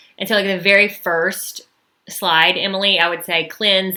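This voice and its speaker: A woman's bright, sharp tone in a Southern US accent at a moderate pace. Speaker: social media marketing coach. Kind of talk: live webinar training. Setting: YouTube livestream. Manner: casual, filler-heavy.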